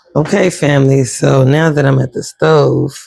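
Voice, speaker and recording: Soft-spoken and very slow, a man talks in a dark, mellow tone, fairly high for a man, with fairly even intonation. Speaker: homesteading cooking vlogger. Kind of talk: cooking tutorial. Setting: home kitchen.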